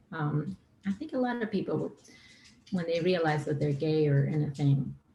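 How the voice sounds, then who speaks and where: This woman has a very deep, low pitch and ordinary pitch variation. Her pace is moderate, with noticeable background noise behind her. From Argentina. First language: Spanish. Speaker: singer-songwriter. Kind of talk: podcast interview. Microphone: too quiet.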